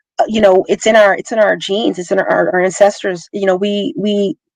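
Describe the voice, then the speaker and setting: A woman speaks in a normal speaking voice, medium in pitch, at a moderate pace with ordinary pitch variation, and the sound is dry and close with no echo. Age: 40s. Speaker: tech professional. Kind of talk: casual chat.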